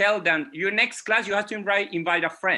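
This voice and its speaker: A man with a Venezuelan accent projects a raised, high-pitched voice with a bright, sharp tone on a very clean recording with a silent background. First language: Spanish. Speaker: music educator. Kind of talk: panel discussion. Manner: halting.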